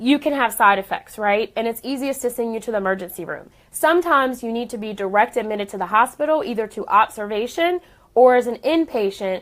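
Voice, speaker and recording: Very fast and animated, a woman speaks with a fairly high pitch and lively intonation on a very clean recording with a silent background. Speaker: radiation oncologist, cancer doctor. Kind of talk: live stream talk. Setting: clinic office.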